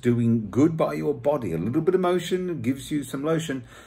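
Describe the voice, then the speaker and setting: A man's somewhat breathy voice with a British accent. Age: 50s. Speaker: vlogger. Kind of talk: casual vlog. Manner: halting. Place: home room. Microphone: phone near.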